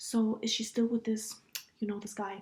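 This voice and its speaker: The woman's voice sits fairly high in pitch yet carries a dark, mellow tone. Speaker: podcast host. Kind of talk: casual chat. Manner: loud; animated.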